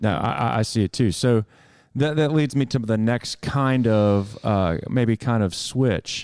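A man in an ordinary speaking voice, pitched in the middle for a man. His pitch moves in a normal way, and his loudness stays very even. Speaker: interviewer. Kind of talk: casual interview conversation. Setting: in person at a cafe.

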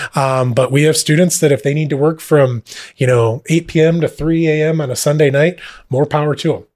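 A man speaks quickly enough, at a fairly quick pace and fairly high pitch. His is an unremarkable speaking voice with fairly even intonation. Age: 30s. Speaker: school administrator. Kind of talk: podcast interview.

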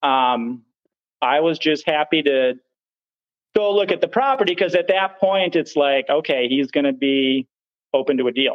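The intonation is lively while the pace stays fairly slow. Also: man. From northern Wisconsin. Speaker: short-term rental host and competitive lumberjack. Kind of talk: casual interview chat.

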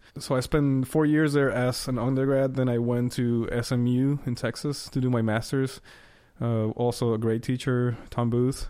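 Speaking at a moderate pace with a Spanish accent, a man uses a medium pitch and a flat monotone with very even loudness. His tone is dark and mellow, and the recording is very clean with a silent background. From Costa Rica. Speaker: trumpet player. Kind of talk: casual chat.

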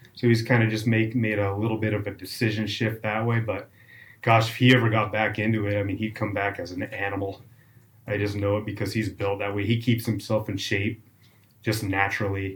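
The voice is somewhat breathy and monotone, with flat intonation. It moves at a fairly quick pace. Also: man, fairly low pitch for a man. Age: 40s. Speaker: trail runner. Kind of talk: casual interview.

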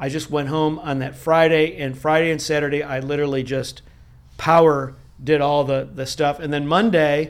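A man with a normal speaking voice, fairly high in pitch, at a moderate pace with fairly even intonation. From upstate New York (Rochester). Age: 60s. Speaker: franchise attorney. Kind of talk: interview conversation.

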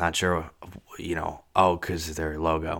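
On a very clean recording with a silent background, a man speaks in a bright, sharp tone. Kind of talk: angry rant, heated and profane, self-interrupting venting into the mic. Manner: exasperated, scattered, loud and irritable.

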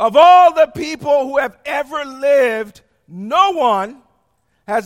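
This man's pitch is extremely high and swings very widely. He speaks at a very slow pace. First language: not English. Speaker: preacher. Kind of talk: sermon. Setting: church.

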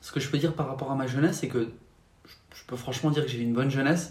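A man speaks with a fairly high pitch and ordinary pitch variation. Room echo is audible. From France, Paris region. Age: 20s. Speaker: faith testimony guest. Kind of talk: testimony. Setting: at home.

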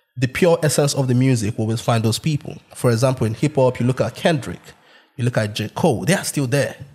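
Somewhat breathy, a man talks in a medium pitch with ordinary pitch variation. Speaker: podcast host. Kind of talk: casual banter. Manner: animated, jokey.

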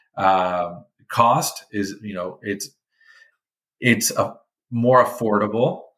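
Here a man with an American accent speaks very slowly, with long, frequent pauses. His fairly low voice has ordinary pitch variation and big swings in loudness. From California. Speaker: medical research company executive. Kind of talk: interview.

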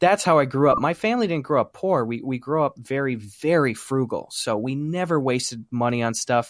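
Talking at a fairly quick pace with hardly any pauses, a man with an unremarkable speaking voice and fairly high pitch uses lively intonation on a very clean recording with a silent background. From US Midwest, small-town Wisconsin. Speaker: YouTube comedian. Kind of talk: casual chat.

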